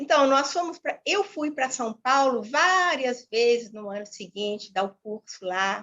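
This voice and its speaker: This woman's intonation rises and falls with liveliness. She keeps her pace fairly slow. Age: 70s. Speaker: retired teacher and holistic therapist. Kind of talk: interview.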